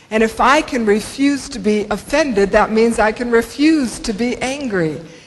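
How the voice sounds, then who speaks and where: A woman speaks in a fairly high pitch with an American accent. Noticeable background noise is present. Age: 60s. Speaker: motivational speaker. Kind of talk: conference talk.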